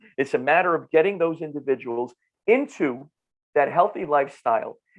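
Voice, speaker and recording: Pitched fairly high, a man speaks with lively intonation. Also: fairly quick pace. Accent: North Jersey. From northern New Jersey. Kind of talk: podcast interview. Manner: animated, repetitive restarts.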